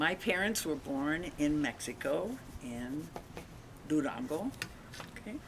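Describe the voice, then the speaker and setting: Over noticeable background noise, a woman with a very deep, low voice makes very wide pitch swings and leaves long, frequent pauses. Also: fairly slow pace. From Long Beach, California. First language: Spanish. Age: 80s+. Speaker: grandmother interviewed by grandson. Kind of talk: family interview.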